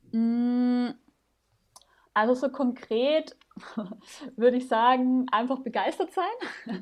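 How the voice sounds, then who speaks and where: Speaking at a very slow pace with long, frequent pauses, a woman uses a high pitch. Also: ordinary pitch variation. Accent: slight Viennese. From Vienna, Austria. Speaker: startup founder. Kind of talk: podcast interview.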